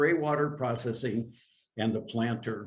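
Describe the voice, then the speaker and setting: A man's voice comes through somewhat breathy. He keeps a moderate pace and fairly even intonation. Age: 70s. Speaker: intentional community founder. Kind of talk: slideshow presentation.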